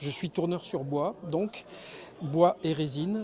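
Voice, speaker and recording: Fairly high in pitch, a man's voice is heard. He speaks at a very slow pace. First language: Spanish (speaking French). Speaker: wood turner, craftsman. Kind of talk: interview.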